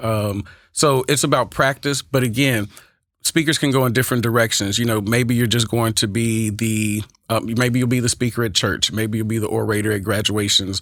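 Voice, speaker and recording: On a very clean recording with a silent background, a man with an Oakland accent speaks at medium pitch and a moderate pace with fairly even intonation. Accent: twang with Oakland sound. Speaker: speech and debate coach. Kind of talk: casual podcast interview.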